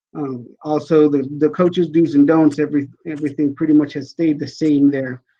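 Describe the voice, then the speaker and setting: A man at a fairly high pitch, moderate pace and monotone, flat intonation. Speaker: school athletic director. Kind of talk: board meeting presentation. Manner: halting with fillers.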